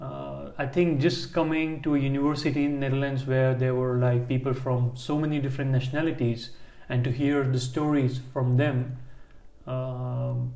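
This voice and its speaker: This man's dark, mellow voice sits at a medium pitch, holding a flat monotone at a moderate pace with audible echo in the room. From India. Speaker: podcast co-host. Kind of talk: casual chat. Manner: halting.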